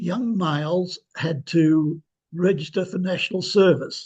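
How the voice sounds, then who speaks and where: An Australian accent with ordinary pitch variation. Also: man. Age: 80s+. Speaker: historian. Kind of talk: interview. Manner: halting, many fillers.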